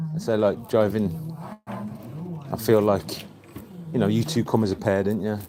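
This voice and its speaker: A man with a Birmingham accent, fairly low in pitch, with lively intonation over noticeable background noise. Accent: Birmingham (Brummie). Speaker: sewing teacher and tailor. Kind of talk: casual chat. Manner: animated storytelling.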